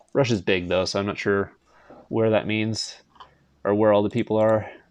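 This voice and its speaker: A man with a Canadian accent, fairly low in pitch, at a moderate pace with monotone, flat intonation. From Canada. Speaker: gaming streamer. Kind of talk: casual live stream chat. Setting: live stream.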